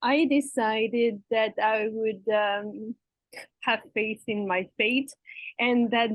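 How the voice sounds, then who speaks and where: This woman has a French accent and a fairly high pitch. Her intonation stays fairly even. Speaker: interview guest, expat and coach. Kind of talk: interview.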